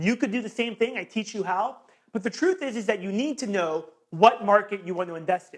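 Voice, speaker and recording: Loud and animated in tone, a man with a high pitch speaks at a fairly quick pace with ordinary pitch variation. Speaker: real estate investing coach. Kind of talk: sales pitch.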